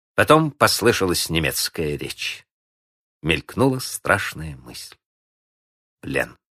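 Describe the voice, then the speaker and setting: A man's very deep, low voice with a bright, sharp tone, solemn and dramatic, at a very slow pace with long, frequent pauses and very wide pitch swings, on a dry, close, very clean recording with no echo and a silent background. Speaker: narrator. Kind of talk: historical documentary narration, scripted and read aloud. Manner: measured, solemn, dramatic; steady, formal, clearly paced storytelling.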